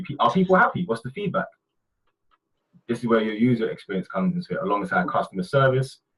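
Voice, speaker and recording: The pitch of this man's voice swings very widely. He talks at a fairly quick pace. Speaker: brand designer presenting webinar. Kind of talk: webinar presentation. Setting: online webinar. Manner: fast.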